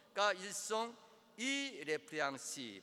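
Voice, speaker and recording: Raised and projected, a man's high-pitched voice comes across with a bright, sharp tone. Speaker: preacher. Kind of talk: sermon, preaching to a congregation, with direct appeals to the listener. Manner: emphatic and rhetorical, with rhetorical questions.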